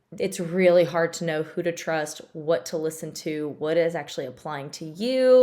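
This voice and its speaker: In a Tennessee accent, a woman talks at a moderate pace. Her pitch is fairly low, with ordinary variation. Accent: Tennessee Southern. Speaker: physical therapist. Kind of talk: casual informational talk to camera. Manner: chatty.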